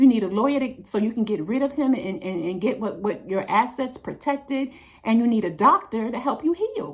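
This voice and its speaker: With a normal speaking voice, a woman talks at a fairly quick pace, her fairly high pitch carried by lively intonation. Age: 60s. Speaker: relationship advice vlogger. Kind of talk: monologue to camera.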